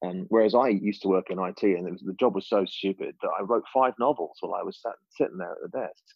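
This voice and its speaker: A man with an English accent at a very fast pace, with hardly any pauses. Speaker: creative director and food blogger. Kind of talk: casual chat.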